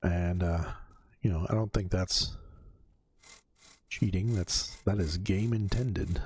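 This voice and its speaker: A somewhat breathy voice at a moderate pace with fairly even intonation, in a very clean recording with a silent background. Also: man. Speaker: gaming youtuber. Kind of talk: casual gameplay commentary. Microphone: new USB condenser mic, bass dialed down.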